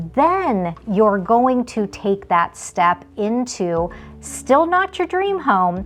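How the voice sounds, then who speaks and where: Over music in the background, someone with an American accent speaks with very wide pitch swings. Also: woman. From Las Vegas, Nevada. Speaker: realtor. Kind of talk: casual vlog talk to camera. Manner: conversational.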